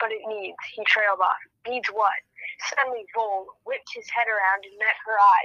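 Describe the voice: The background is quiet. The recording is plain reading aloud.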